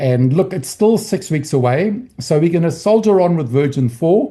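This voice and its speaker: The man's voice is dark and mellow in tone and somewhat breathy. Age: 60s. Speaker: trading educator. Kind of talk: training session. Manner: halting.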